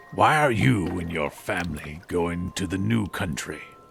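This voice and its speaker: A man puts on a character voice, very deep and low, with lively intonation. He keeps a moderate pace over clear background noise. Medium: audio drama. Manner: cold, blunt, suspicious.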